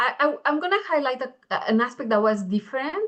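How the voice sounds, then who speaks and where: Speaking at a fairly quick pace, a woman with a Spanish accent makes very wide pitch swings. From Mexico. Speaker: engineering education researcher. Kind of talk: panel discussion.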